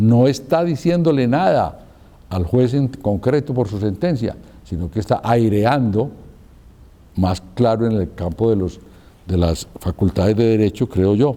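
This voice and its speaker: A man speaks at a medium pitch with a dark, mellow tone. His intonation is lively and his pace fairly slow. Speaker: speaker on law and politics. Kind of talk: lecture. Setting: live talk with audience, recorded.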